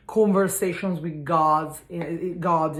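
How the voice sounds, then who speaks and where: With an Italian accent, a woman talks at a fairly low pitch. Room echo can be heard. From Italy. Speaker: spiritual energy cleanse content creator. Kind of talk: casual vlog talk. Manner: halting.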